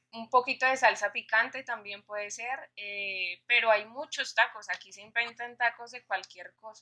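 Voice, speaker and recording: A woman speaks with a Colombian accent at a fairly high pitch and a fairly slow pace, with hardly any pauses. Her tone is bright and sharp, her intonation fairly even, and her loudness swings widely. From Colombia, Bogotá. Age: 20s. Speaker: young church member. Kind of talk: casual chat.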